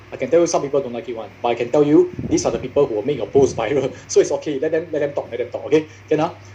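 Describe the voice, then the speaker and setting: A man talks at a very fast pace in an animated tone. Noticeable background noise runs behind him. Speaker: social media marketing trainer. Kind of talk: workshop talk.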